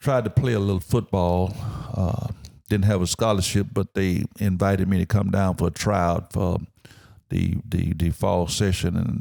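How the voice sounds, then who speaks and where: In a very clean recording with a silent background, a man with an East Texas accent talks at a moderate pace, his very deep, low pitch and dark, mellow tone showing ordinary pitch variation. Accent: East Texas Southern US. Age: 70s. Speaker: Vietnam veteran. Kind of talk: interview.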